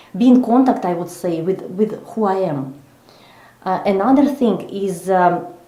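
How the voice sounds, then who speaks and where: Noticeable background noise and audible room echo surround a woman speaking at a fairly slow pace. Her medium-pitched voice has lively intonation. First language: not English. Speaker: psychologist and coach. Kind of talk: interview. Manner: slow, deliberate; halting, many fillers.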